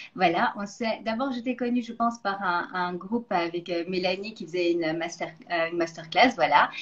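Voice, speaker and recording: A woman talks at a moderate pace with hardly any pauses. Noticeable background noise runs behind her. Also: medium pitch for a woman, ordinary pitch variation. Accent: slight Belgian. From Belgium. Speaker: nutrition coach, interview host. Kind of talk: interview.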